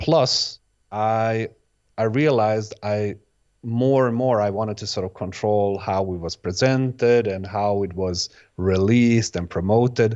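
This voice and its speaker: A man with a Bosnian accent, fairly low pitch, fairly slow pace and fairly even intonation. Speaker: electronic music producer and DJ. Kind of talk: interview. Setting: video podcast. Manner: halting, many false starts and repeats.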